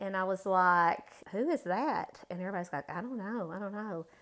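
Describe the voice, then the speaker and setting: A woman with an unremarkable speaking voice talks at medium pitch and moderate pace with ordinary pitch variation, in a very clean recording with a silent background. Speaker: guest, mother, flower expert. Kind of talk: casual interview chat.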